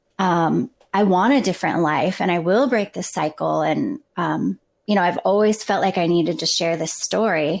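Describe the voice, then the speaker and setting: A woman's fairly low voice with vocal fry, lively intonation and a moderate pace. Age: 40s. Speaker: guest sharing life story. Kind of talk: interview conversation.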